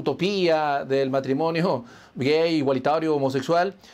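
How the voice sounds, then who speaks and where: A man's normal speaking voice, fairly high in pitch with ordinary variation and a fairly slow pace, on a very clean recording with a silent background. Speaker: online show host. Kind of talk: interview.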